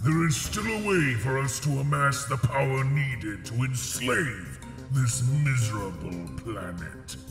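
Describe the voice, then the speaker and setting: Over clear background music and a slight echo, a man uses a put-on character voice at a medium pitch and a fairly slow pace. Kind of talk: video game cutscene voice impression. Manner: angry, booming.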